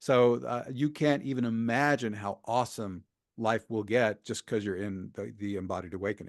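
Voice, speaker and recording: A normal speaking voice from a man, fairly low in pitch, with ordinary pitch variation at a moderate pace over a quiet background. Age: 60s. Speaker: shamanic healer and spiritual teacher. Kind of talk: interview.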